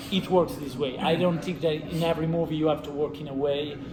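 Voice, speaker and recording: Over music in the background and audible room echo, a man with an Italian accent talks at a fairly quick pace in a monotone, flat intonation. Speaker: film director. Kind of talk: interview. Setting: film festival. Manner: halting.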